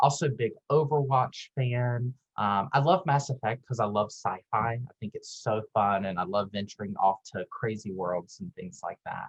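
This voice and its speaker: A man talks at a moderate pace in a medium pitch, sounding somewhat breathy. His intonation is lively, and his loudness swings widely. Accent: Southern US. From US South. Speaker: pharmacist and admissions director. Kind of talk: presentation. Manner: animated.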